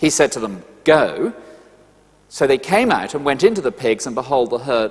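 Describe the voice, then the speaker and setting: Speaking at a moderate pace, a man uses lively intonation in a British accent. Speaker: preacher. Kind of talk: sermon.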